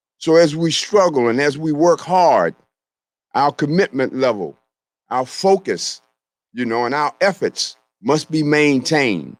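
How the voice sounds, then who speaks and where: With an American accent, a man speaks fairly slowly in a fairly high voice, with ordinary pitch variation and long, frequent pauses, in a dry, close sound with no echo. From US, Southeast Washington, D.C. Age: 60s. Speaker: naturopathic doctor and speaker. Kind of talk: speech at community event. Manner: many fillers, halting.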